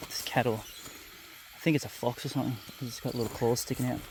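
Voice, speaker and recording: A man's medium-pitched, monotone, flat voice at a very fast pace over noticeable background noise. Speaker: outdoor investigator vlogger. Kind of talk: walking commentary outdoors. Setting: outdoors in the bush. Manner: whispering.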